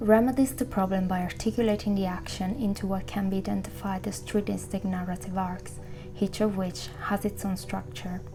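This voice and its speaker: Music plays in the background under fairly even intonation. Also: woman. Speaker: video essayist. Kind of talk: video essay narration. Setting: home recording, imperfect audio. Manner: hesitant.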